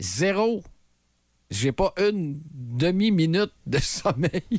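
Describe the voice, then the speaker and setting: In a Quebec accent, the voice moves in very wide pitch swings, recorded with a dry, close sound and no echo. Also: man. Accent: Québécois French. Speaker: morning radio host. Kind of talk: casual chat.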